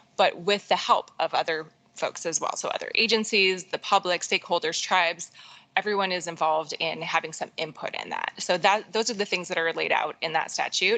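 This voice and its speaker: A woman's medium-pitched voice, fairly quick in pace, with fairly even intonation. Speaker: state agency water strategy specialist. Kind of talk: formal presentation at a public board meeting. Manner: fast.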